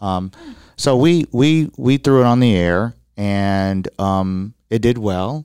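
An unremarkable speaking voice with an American accent and ordinary pitch variation comes through a dry, close sound with no echo on a very clean recording with a silent background. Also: man. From Chicago. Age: 40s. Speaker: radio broadcaster and business owner. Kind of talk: interview.

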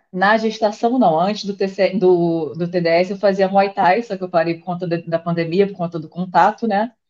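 A woman's unremarkable speaking voice at medium pitch and moderate pace, fairly even intonation, big swings in loudness and hardly any pauses. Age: 30s. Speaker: nutritionist, pregnant trainee. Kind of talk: casual chat.

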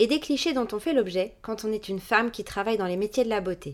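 A woman speaks in a plain, everyday voice with a fairly high pitch and lively intonation. The recording is very clean, with a silent background. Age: 30s. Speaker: beautician and podcast host. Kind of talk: scripted narration; casual chat.

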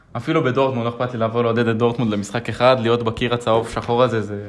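At a very fast pace, a man with a medium pitch speaks with fairly even intonation. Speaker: podcast host. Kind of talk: casual chat.

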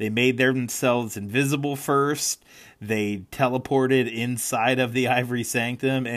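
The recording consists of plain reading aloud.

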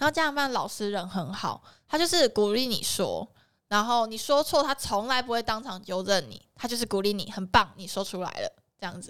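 A woman with an ordinary speaking voice talks at a moderate pace, her fairly high pitch carried by lively intonation. Her loudness swings widely. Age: 20s. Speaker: photographer. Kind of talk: casual chat.

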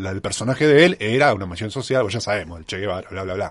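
A man's ordinary speaking voice, fairly low in pitch, with lively intonation against a quiet background. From Argentina, Mar del Plata. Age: 40s. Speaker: travel writer. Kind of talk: interview. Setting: radio studio.

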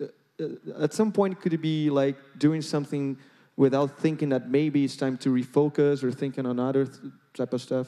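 A dark, mellow tone carries a Brazilian accent at a moderate pace with fairly even intonation. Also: man, fairly high pitch for a man. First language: Portuguese. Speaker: interviewer, education executive. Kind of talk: interview.

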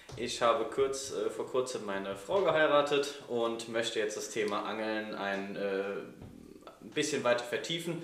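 The speech moves at a fairly slow pace with ordinary pitch variation. Audible room echo and noticeable background noise surround it. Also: man, medium pitch for a man. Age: 20s. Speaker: podcast co-host, software developer. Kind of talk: casual chat. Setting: club house.

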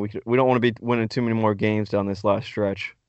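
An unremarkable speaking voice from a man, fairly low in pitch, with fairly even intonation. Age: 20s. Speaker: sports podcast co-host. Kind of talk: casual chat.

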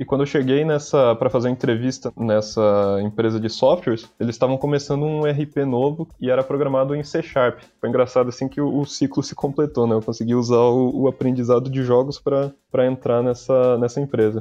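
As music plays in the background, a man with a medium pitch speaks at a fairly quick pace with hardly any pauses and fairly even intonation. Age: 20s. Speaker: game designer. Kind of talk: interview. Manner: halting, frequent repetitions.

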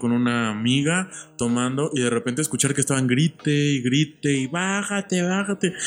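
At a moderate pace, a man uses a normal speaking voice of medium pitch with ordinary pitch variation. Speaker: medical student. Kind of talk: casual chat.

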